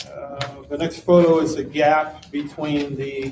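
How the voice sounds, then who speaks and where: Set against noticeable background noise, a man's fairly high voice holds a monotone, flat intonation. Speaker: electrical engineer and residential designer presenting to commission. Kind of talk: public meeting presentation. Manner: halting, many fillers.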